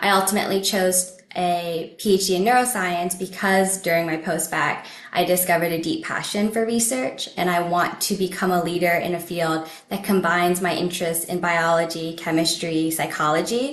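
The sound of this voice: Speaking with an American accent, a woman with a fairly low pitch keeps a moderate pace and fairly even intonation, with few pauses and audible room echo.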